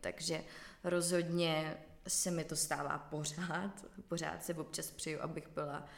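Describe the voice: A woman with a low pitch and vocal fry speaks with little pitch movement.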